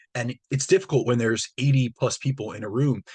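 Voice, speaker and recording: Somewhat breathy and at a medium pitch, a man's voice comes through with a dry, close sound with no echo and a quiet background. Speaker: fitness coach and podcast host. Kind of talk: solo podcast monologue. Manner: fast.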